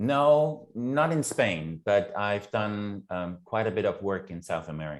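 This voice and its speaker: The pitch of this man's voice is fairly low and swings very widely, and he speaks at a fairly slow pace with hardly any pauses. The recording is very clean, with a silent background. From Germany. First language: German. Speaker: program facilitator and university lecturer. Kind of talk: casual chat.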